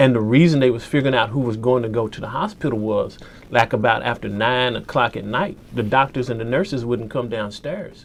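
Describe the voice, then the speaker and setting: This man has an American accent and a medium pitch. He moves at a fairly quick pace with ordinary pitch variation. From US South, western Kentucky. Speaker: photojournalist. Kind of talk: interview.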